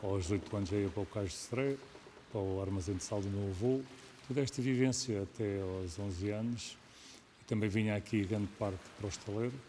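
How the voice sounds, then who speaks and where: A man's fairly low, dark, mellow voice at a fairly quick pace, with ordinary pitch variation. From Portugal, Tagus south bank (Montijo area). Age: 70s. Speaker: shipwright. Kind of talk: documentary interview. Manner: hesitant, with repetitions.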